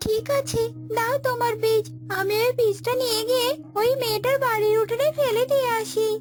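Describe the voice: A cartoonish character voice at an extremely high pitch moves at a moderate pace. Loud music plays in the background.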